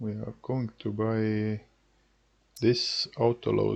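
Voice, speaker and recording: A man with a non-native accent, speaking at a very slow pace over a quiet background. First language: not English. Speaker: gaming youtuber. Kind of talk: gameplay commentary. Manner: halting, many filler words.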